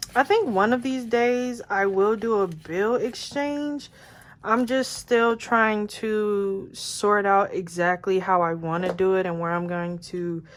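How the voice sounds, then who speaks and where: A woman uses an ordinary speaking voice at medium pitch with ordinary pitch variation. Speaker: budgeting vlogger. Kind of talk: casual vlog tutorial.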